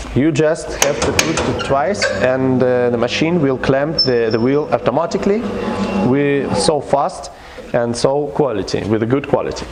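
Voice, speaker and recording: Speaking with a non-native accent, a man talks at a fairly slow pace and a medium pitch with ordinary pitch variation. Noticeable background noise and audible room echo are present. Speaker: equipment company representative. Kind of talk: product demonstration. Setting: service station workshop. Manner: halting, many fillers. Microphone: low quality video recording.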